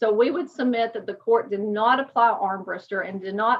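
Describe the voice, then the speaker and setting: With an East Tennessee accent, a woman speaks at a moderate pace, her fairly high pitch held in fairly even intonation. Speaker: attorney. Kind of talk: oral argument. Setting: video call. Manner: formal.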